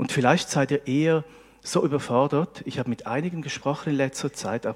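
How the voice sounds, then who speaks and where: Ordinary pitch variation in a fairly high male voice. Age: 40s. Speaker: preacher. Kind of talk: sermon. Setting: church service with congregation. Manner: animated.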